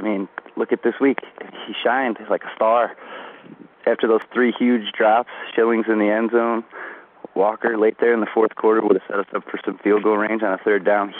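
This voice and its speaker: A man with an American accent, monotone and flat, at a moderate pace over noticeable background noise. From US Midwest. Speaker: caller. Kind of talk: phone-in message.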